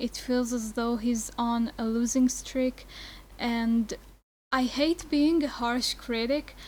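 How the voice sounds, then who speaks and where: A woman's high-pitched voice with a non-native accent, fairly even intonation and a very slow pace. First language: not English. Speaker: film vlogger. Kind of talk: casual video review.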